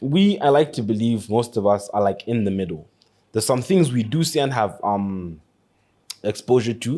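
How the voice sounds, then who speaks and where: Lively intonation and a dark, mellow tone mark this voice, heard at a moderate pace. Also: man, medium pitch for a man. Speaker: podcast co-host. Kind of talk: casual chat. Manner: halting.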